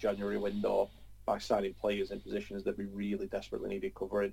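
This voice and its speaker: A North London accent at a very fast pace. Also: man. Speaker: football podcast panelist. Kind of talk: casual banter.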